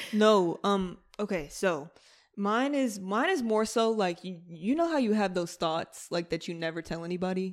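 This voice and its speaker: Captured in a very clean recording with a silent background, a woman with an ordinary speaking voice speaks at medium pitch, a moderate pace and ordinary pitch variation. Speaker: podcast co-host. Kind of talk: casual chat. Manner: casual, profane.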